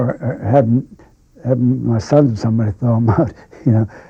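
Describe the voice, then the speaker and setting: A man talks at a fairly quick pace in a medium-pitched voice. His delivery is somewhat breathy. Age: 80s+. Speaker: local historian. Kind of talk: casual chat.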